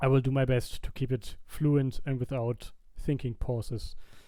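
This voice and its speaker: Here a man speaks at a medium pitch with a non-native accent. His tone is dark and mellow, and his intonation stays fairly even. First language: not English. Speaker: YouTuber, gaming video creator. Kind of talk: casual commentary over gameplay. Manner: halting, frequent fillers and restarts.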